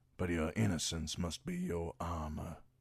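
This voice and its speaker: A man puts on a character voice, very deep and low in pitch, with fairly even intonation. He speaks at a moderate pace on a very clean recording with a silent background. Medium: read story. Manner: grave, formal.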